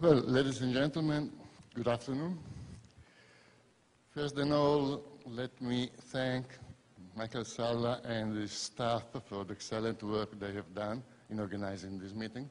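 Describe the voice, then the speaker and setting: Pausing long and often, a man at medium pitch speaks at a fairly slow pace with a non-native accent and ordinary pitch variation. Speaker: professor and UFO researcher. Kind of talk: conference lecture. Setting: conference stage with audience.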